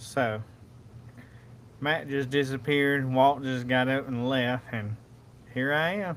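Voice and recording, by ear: The voice moves at a slow pace, with a fairly bright tone and fairly even intonation. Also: man, medium pitch for a man.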